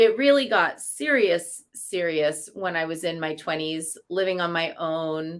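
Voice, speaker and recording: A woman with an American accent speaks in an unremarkable speaking voice, fairly low-pitched, at a fairly slow pace with hardly any pauses and ordinary pitch variation, on a very clean recording with a silent background. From New York. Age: 40s. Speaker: priestess. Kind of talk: casual chat.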